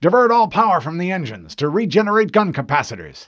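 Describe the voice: A man's put-on character voice, high in pitch with big pitch swings, a fairly bright tone and a fairly quick pace.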